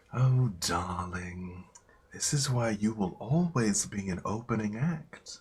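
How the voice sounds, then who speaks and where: This man speaks at a fairly slow pace. He uses a put-on character voice. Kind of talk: dramatic, pet names like darling. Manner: taunting, condescending.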